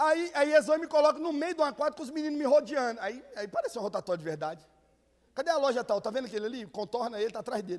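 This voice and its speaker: A man speaks at a very fast clip in an animated tone. His pitch is extremely high and his intonation is lively. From Minas Gerais, Brazil (Contagem area). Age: young. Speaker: guest preacher. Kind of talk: sermon.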